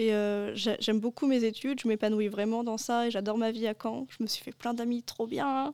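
This is a normal speaking voice at a moderate pace with fairly even intonation. The sound is dry and close, with no echo. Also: woman, fairly high pitch for a woman. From France, Paris region. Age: 20s. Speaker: university student, former European volunteer. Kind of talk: radio interview.

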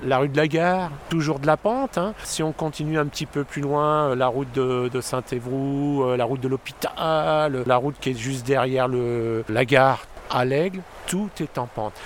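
Speaking at a fairly slow pace, a man with a fairly high pitch uses ordinary pitch variation over noticeable background noise. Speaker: local guide. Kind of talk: guided walk commentary.

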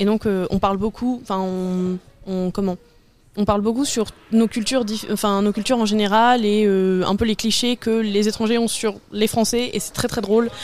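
At a moderate pace, a woman with a medium pitch talks in a monotone, flat intonation. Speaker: civic service volunteer. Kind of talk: radio interview.

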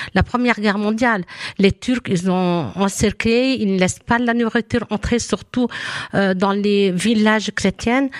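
An ordinary speaking voice from a woman, medium in pitch with fairly even intonation, very even loudness and a fairly slow pace, in a dry, close sound with no echo. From Lebanon. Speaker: community association member. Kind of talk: live radio chat.

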